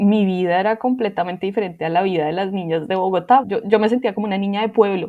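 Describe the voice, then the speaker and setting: Her intonation stays fairly even. The woman speaks at a very fast pace. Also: medium pitch for a woman, hardly any pauses. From Colombia, Manizales. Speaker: interviewee sharing life story. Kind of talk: personal testimony.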